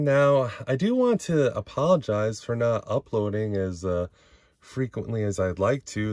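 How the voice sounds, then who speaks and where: A man talks at a moderate pace with lively intonation. The sound is dry with no echo, and the background is quiet. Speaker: toy collector channel host. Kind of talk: casual vlog chat. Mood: grateful, candid, personal. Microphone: phone near.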